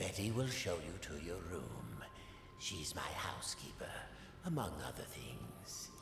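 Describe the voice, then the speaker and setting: Amid loud background noise and clear echo, a man uses a put-on character voice with a very deep, low pitch, speaking fairly slowly. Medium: video game. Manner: smooth, condescending.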